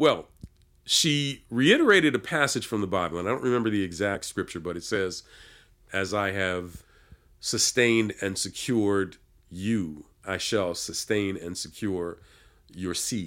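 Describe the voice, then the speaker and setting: This is a plain, everyday voice with ordinary pitch variation, on a very clean recording with a silent background. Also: man, fairly low pitch for a man, fairly slow pace. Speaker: record producer and musician. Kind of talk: interview, personal testimony.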